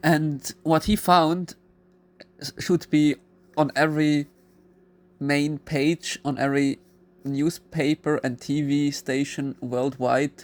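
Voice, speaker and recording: Very slow speech with a non-native accent and long, frequent pauses, on a very clean recording with a silent background. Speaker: YouTuber. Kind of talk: video monologue. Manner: halting.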